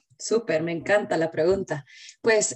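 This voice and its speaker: The woman has an unremarkable speaking voice with ordinary pitch variation. Her pace is fairly slow. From Guatemala. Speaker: company general manager. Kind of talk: interview.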